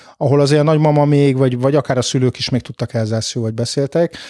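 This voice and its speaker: A man talks in an ordinary speaking voice with ordinary pitch variation. The recording is very clean, with a silent background. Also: dry, close sound with no echo. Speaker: historian. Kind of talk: interview.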